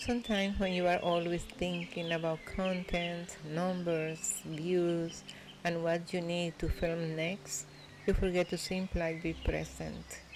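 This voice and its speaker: A woman's fairly low, monotone voice with flat intonation and a Spanish accent, at a fairly slow pace. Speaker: vlogger. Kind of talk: voiceover narration. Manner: calm; soft-spoken.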